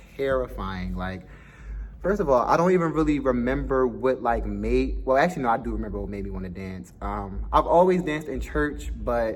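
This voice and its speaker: A man with an American accent speaks at a moderate pace. Audible room echo is present. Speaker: dance school owner and vlogger. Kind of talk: casual vlog monologue. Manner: casual, chatty with fillers.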